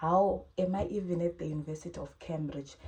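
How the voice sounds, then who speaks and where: A woman with a fairly low, somewhat breathy voice and a dark, mellow tone talks at a moderate pace with fairly even intonation. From Zimbabwe. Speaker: YouTuber, postgraduate student. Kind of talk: advice talk / tutorial vlog. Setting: sit-down video, screen demo.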